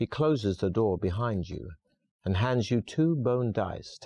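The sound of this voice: Over a quiet background, someone reads in an unforced voice with a lively intonation.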